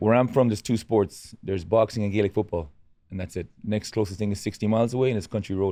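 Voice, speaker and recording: A man with a western Irish accent, fairly low pitch, dark, mellow tone, fairly even intonation and very fast pace. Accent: Irish, west of Ireland. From west of Ireland, rural. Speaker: boxing coach. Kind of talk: casual interview. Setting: studio with live audience.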